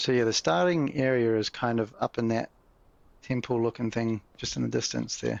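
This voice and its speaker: Here a man speaks with a New Zealand accent. His medium-pitched voice has a relaxed tone. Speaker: gaming YouTuber. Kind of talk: gameplay commentary. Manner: casual, relaxed.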